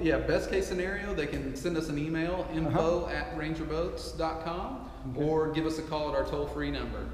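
Talking at a fairly quick pace, a man is heard with audible room echo and light background noise. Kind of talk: interview answer. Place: hall.

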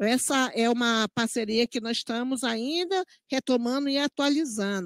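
Her pitch high, a woman speaks at a fairly slow pace against a quiet background, the sound dry with no echo. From Brazil. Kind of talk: parliamentary hearing testimony. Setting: parliamentary committee room. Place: meeting room. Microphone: handheld.

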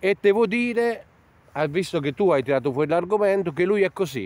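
Lively intonation in a dry sound with no echo. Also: man. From southern Italy. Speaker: vlogger interviewing emigrants. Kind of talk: casual street interview. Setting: outdoors in a park. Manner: animated. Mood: cheerful, warm. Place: open country. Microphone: phone near.

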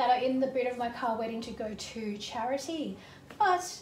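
Amid light background noise and audible room echo, a woman with a high pitch speaks at a moderate pace with ordinary pitch variation. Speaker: home organising vlogger. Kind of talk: casual vlog chat. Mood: light, self-mocking humour. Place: kitchen.

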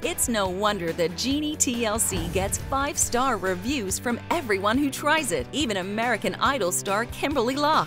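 Music plays in the background as the speaker goes at a moderate pace with lively intonation and hardly any pauses. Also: woman, fairly high pitch for a woman. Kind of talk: TV commercial read.

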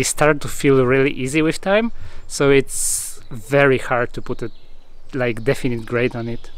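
Speaking at a moderate pace with fairly even intonation, a man is heard in a dry sound with no echo. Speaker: climbing vlogger. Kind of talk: casual vlog chat. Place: garden. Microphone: phone near.

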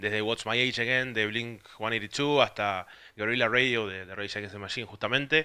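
Against a quiet background, a man speaks in a bright, sharp tone at a moderate pace. His intonation is fairly even, while his loudness swings widely. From Argentina. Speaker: music site contributor; presenter. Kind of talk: casual record presentation. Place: home room. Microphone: handheld.

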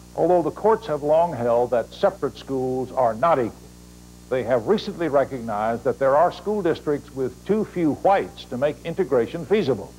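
A man speaks at a fairly high pitch with lively intonation, with music playing in the background. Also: moderate pace. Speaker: documentary narrator / news reporter. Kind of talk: TV news documentary narration. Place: classroom.

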